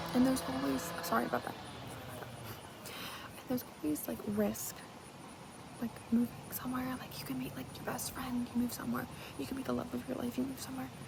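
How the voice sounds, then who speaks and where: A woman whispers at a fairly quick pace, with long, frequent pauses. Noticeable background noise can be heard. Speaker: ASMR creator. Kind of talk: casual talk to camera. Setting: outdoors. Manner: whispered.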